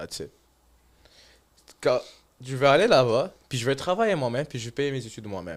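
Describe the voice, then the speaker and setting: Speaking at a fairly quick pace, a man with medium pitch and vocal fry makes very wide pitch swings and big swings in loudness, broken by long, frequent pauses. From Morocco. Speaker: immigrant student. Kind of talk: casual podcast interview.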